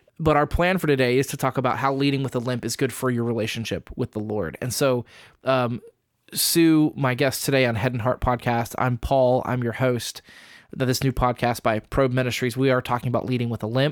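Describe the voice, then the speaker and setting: A man with an ordinary speaking voice talks at a fairly quick pace in a medium pitch with fairly even intonation, captured on a very clean recording with a silent background and a dry, close sound with no echo. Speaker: podcast host. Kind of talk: casual chat. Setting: studio.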